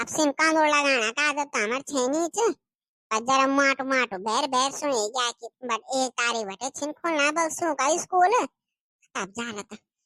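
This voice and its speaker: A woman does a put-on character voice at a high pitch, with ordinary pitch variation and a moderate pace. The sound is dry and close, with no echo. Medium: comedy sketch. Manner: inquisitive, chatty.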